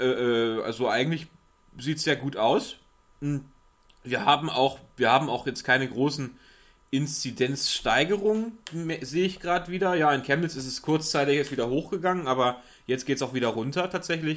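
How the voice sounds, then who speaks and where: There are long, frequent pauses as a man speaks at a moderate pace in a fairly high pitch with ordinary pitch variation. The recording is very clean with a silent background. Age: 20s. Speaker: magazine editor. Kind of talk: casual chat. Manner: halting.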